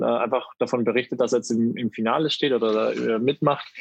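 This man talks at a fairly quick clip in an unremarkable speaking voice, medium in pitch with fairly even intonation. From Baden-Württemberg, Germany. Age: 30s. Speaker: pageant titleholder and LGBTQ sports activist. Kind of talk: casual interview chat.

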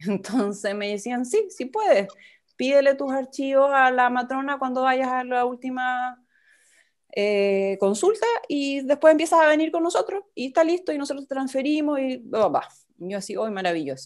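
In a Chilean accent, a woman speaks at a high pitch with very wide pitch swings. The recording is very clean, with a silent background. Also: moderate pace. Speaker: photographer and mother sharing birth story. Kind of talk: interview, personal testimony. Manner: hesitant, many fillers.

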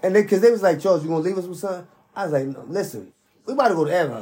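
A man with a high voice, lively intonation and a dark, mellow tone, at a very fast pace amid audible room echo.

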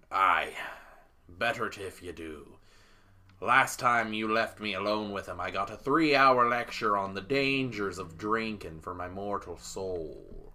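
Gruff and rumbling, a man's put-on character voice moves at a fairly slow pace, fairly low in pitch with ordinary pitch variation. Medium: actual play. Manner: gruff, grumbling.

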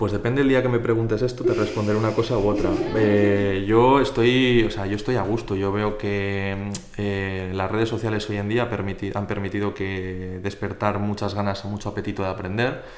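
With audible room echo and noticeable background noise, a man talks at a moderate pace in a fairly low, monotone, flat voice. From Spain, Zaragoza. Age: 20s. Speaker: physiotherapist. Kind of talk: casual interview.

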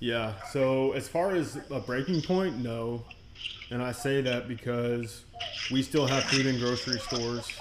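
With an American accent, a man of medium pitch talks at a fairly slow pace with ordinary pitch variation, amid noticeable background noise and audible room echo. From Texas. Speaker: energy medicine practitioner. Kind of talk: casual chat.

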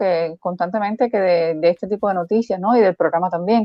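This woman, with an ordinary speaking voice, speaks at a fairly quick pace with ordinary pitch variation. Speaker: co-host commentator. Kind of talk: casual chat. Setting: live stream.

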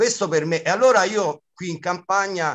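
A man is speaking. His pitch swings very widely. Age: 50s. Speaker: comic actor and clown. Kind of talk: interview.

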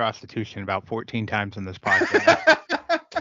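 Fairly even in intonation, a man at medium pitch talks in a plain, everyday voice. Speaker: podcast co-host. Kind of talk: casual chat.

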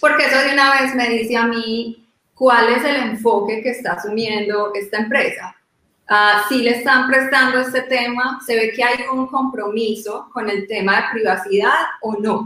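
Speaking at a fairly slow pace, a woman with a fairly high pitch has a plain, everyday voice. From Colombia. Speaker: privacy lawyer. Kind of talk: panel discussion.

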